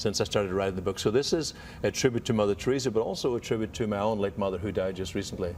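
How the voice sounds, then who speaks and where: Words come out at a very fast pace in an Irish accent. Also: man. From Ireland. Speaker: author and health expert. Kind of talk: TV interview.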